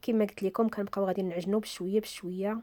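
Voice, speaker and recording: A woman with a dark, mellow tone talks at a moderate pace, her intonation fairly even. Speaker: cooking channel host. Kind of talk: cooking tutorial.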